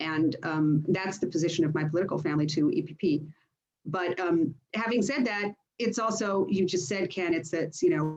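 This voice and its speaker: Backed by music in the background, a woman with an American accent talks at a moderate pace, with a fairly low pitch and ordinary pitch variation. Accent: sounds American. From United States and Greece. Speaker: politician. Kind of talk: panel discussion.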